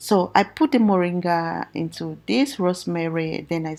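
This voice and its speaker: A soft-spoken woman's fairly low voice, fairly slow in pace, with ordinary pitch variation. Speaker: hair care YouTuber. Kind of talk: tutorial.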